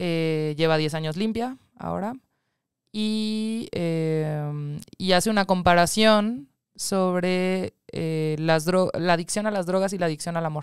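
A woman speaks at a very slow pace and a fairly low pitch, with ordinary pitch variation. The sound is dry with no echo, over a quiet background. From Mexico City. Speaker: documentary film producer; guest. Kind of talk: interview; interview answer. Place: studio. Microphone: studio mic.

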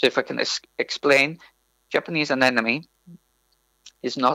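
A man with a Welsh accent, medium pitch, a bright, sharp tone, monotone, flat intonation and a fairly quick pace, in a dry, close sound with no echo. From North Wales. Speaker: PhD researcher in plant science. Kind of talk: interview.

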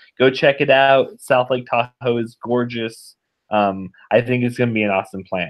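At a moderate pace, a man speaks in an American accent. The background is quiet. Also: fairly even intonation. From Northern Nevada, US. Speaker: web developer; podcast guest. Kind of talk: casual chat. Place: home room. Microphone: webcam.

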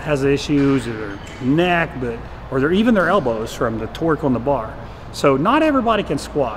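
Noticeable background noise can be heard throughout. The speaking pace is fairly quick. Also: man. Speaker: fitness coach. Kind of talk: casual tutorial talk to camera. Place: gym.

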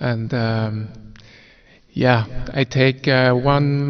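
The man's voice is monotone, with flat intonation. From Switzerland. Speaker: wheelchair racer. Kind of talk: press conference answers. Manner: halting, many fillers. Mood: calm, friendly, modest. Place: meeting room. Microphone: podium.

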